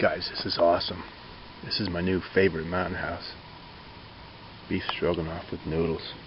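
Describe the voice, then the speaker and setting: A man talks in a very deep, low pitch with flat, monotone intonation and long, frequent pauses, amid noticeable background noise and audible room echo. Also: moderate pace. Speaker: hiker vlogger. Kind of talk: outdoor vlog. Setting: outdoors at campsite. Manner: casual, conversational; quiet, hushed.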